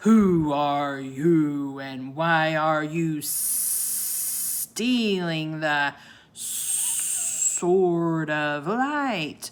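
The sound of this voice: A booming, put-on character voice at a middle pitch moves at a very slow pace.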